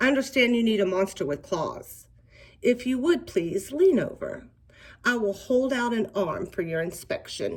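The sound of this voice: The intonation rises and falls with lots of life. It comes in an unforced reading voice.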